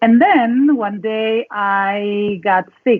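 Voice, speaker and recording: A woman speaks with a Mexican accent. Her pitch varies in an ordinary way. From northern Mexico (Sonora, Mexicali). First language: Spanish. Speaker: dance facilitator and coach. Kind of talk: interview.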